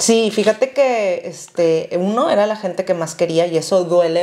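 A woman's fairly low pitch, ordinary pitch variation and moderate pace. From Mexico. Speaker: podcast co-host. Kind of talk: casual chat. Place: home room. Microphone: lapel.

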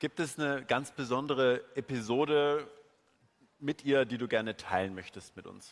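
A man talks at a moderate pace with ordinary pitch variation and big swings in loudness. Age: 30s. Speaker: event moderator. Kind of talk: stage interview. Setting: stage with audience. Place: hall. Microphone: handheld.

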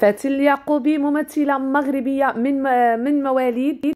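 In a very clean recording with a silent background, a woman with a Moroccan accent speaks at a high pitch. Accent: Moroccan Darija. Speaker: YouTuber and online seller. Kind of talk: celebrity profile narration; sales pitch.

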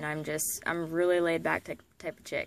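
In a dry sound with no echo, a woman speaks at a fairly low pitch and moderate pace with fairly even intonation. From Florida. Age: 20s. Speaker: vlogger, young mother and former soldier. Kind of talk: casual self-introduction vlog. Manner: hesitant, with many fillers. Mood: relaxed, laid back. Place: home room. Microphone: phone near.

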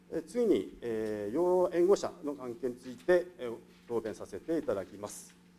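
A man talks at a fairly slow pace in a dark, mellow tone and a fairly high pitch. His pitch swings very widely and his loudness shifts a lot. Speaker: municipal department director. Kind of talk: formal prepared answer. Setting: council chamber. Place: meeting room. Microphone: podium.

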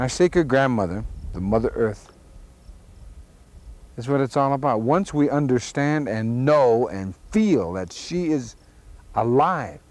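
A man with an American accent and lively intonation at a fairly slow pace, in a dry sound with no echo. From Oglala Sioux, United States. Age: 50s. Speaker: activist and actor. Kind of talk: unscripted monologue. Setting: outdoors. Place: open country.

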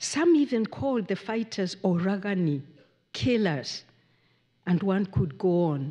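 Against a quiet background, a woman's dark, mellow voice moves through very wide pitch swings. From Kenya. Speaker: playwright and professor; professor. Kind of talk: lecture. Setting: stage with audience. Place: hall. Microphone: podium.

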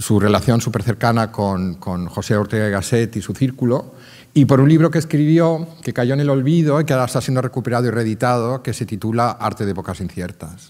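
Against a quiet background, a man speaks at a fairly quick pace with lively intonation. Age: 50s. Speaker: art curator and art fair director; art curator lecturer. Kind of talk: lecture. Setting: stage with audience. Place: stage. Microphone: podium.

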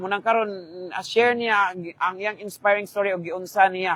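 The speech has fairly even intonation and a moderate pace, recorded with a dry, close sound and no echo. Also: man. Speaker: live stream host. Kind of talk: interview.

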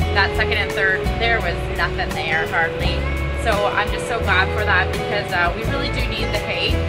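Loud music plays in the background. Over it, a woman speaks at a moderate pace. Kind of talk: casual vlog chat. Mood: calm, content. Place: farm machine. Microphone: phone near.

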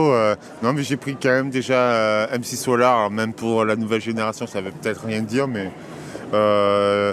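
Over faint background noise, a man with a medium-pitched, fairly bright voice talks at a moderate pace with little pitch movement.

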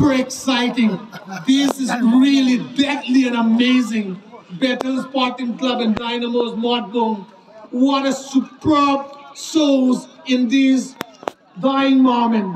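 An extremely high-pitched man talks at a very slow pace with fairly even intonation. Light background noise and audible room echo are present. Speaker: football commentator. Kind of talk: live football commentary. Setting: football ground, local tournament. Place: stadium.

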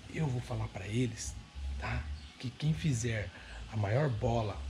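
Vocal fry and very wide pitch swings over noticeable background noise. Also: man. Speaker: family vlogger. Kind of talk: casual vlog chat. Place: home room. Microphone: phone near.

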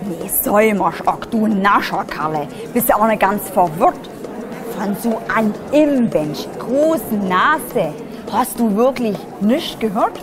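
Amid crowd noise in the background, a woman in an Upper Lusatian accent speaks at a very slow pace in a fairly high pitch with lively intonation.

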